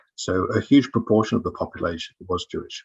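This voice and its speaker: A man speaks in a somewhat breathy voice. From England, Nottingham. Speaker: novelist. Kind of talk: panel discussion. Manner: halting.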